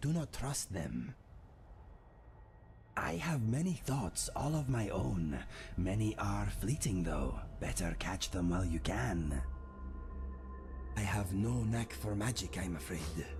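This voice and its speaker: A man's put-on character voice, fairly low and fairly slow, broken by long, frequent pauses, with clear background noise. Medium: game stream. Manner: dry, deadpan, matter-of-fact.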